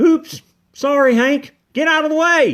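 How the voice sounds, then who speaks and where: In a high-pitched put-on character voice, the speaker moves at a fairly slow pace. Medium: read story.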